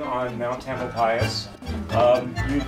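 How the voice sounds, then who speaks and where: Clear background music behind a male speaker. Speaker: host of the nonprofit inn. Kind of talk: informal welcome talk with local history. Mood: light, joking. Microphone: camera far.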